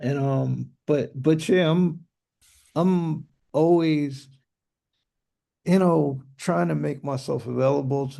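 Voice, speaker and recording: In a slight New York accent, a man talks at a fairly slow pace with a dark, mellow tone and fairly high pitch. The background is quiet. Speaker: music producer and Ableton teacher. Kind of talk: live Q&A chat.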